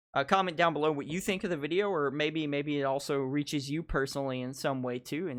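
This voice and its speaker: Against a quiet background, a man with an American accent and a normal speaking voice talks at a fairly quick pace in a fairly high pitch. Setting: video reaction channel.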